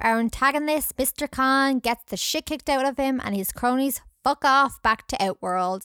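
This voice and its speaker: A woman's high-pitched, bright, sharp voice with an animated tone, on a very clean recording with a silent background. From Scotland. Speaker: podcast host. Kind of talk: casual chat, film review. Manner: animated, humorous.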